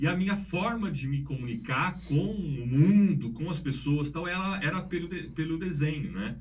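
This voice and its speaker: Noticeable background noise and audible room echo accompany this man's speech. His pitch is fairly high, his intonation lively, and his pace moderate. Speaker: art professor and researcher. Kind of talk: casual chat. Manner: concentrates to avoid stuttering, speaks fluently.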